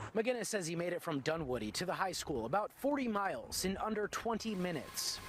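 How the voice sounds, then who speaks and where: A man's high, lively voice at a fairly quick pace with hardly any pauses, over noticeable background noise. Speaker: TV news reporter. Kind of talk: TV news reporting, live and packaged.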